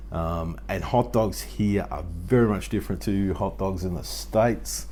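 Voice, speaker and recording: A man with an Australian accent at a moderate pace, with audible room echo. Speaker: YouTube homesteading vlogger. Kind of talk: casual Q&A vlog. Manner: conversational, frequent fillers.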